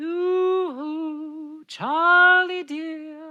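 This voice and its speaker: The voice is pitched high. It's a put-on character voice. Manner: sweet, coaxing.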